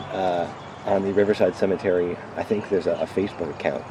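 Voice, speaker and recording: A man with an American accent talks over noticeable background noise. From Manchester, Connecticut. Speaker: volunteer. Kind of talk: casual interview. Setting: outdoors in a golf cart. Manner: quiet.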